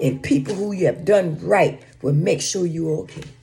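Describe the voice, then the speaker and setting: Noticeable background noise is present. The talking proceeds fairly slowly. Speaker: social media vlogger giving relationship advice. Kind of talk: casual monologue to camera.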